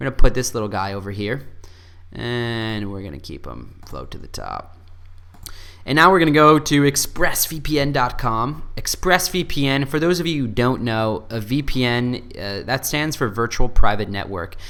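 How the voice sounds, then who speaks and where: With an American accent, a man speaks at a medium pitch and a moderate pace in an animated, bright, sharp tone. His intonation is lively and his loudness swings widely. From US, upstate New York (Buffalo). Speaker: YouTuber, software reviewer. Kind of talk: casual screen-recorded tutorial. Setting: home apartment office.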